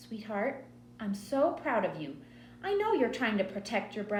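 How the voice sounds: The clip is read in a natural reading voice. That is its sound.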